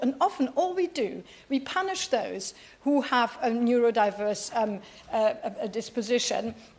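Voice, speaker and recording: Someone with a German accent speaks over noticeable background noise. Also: woman. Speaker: politician. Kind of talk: parliamentary speech. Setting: parliamentary chamber. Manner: halting.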